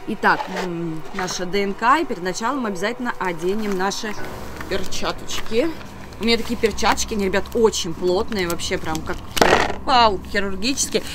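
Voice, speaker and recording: Over loud background noise, a woman talks at a moderate pace with ordinary pitch variation and long, frequent pauses. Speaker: video blogger. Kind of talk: casual vlog chat with a tutorial tone. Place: garden. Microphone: camera far.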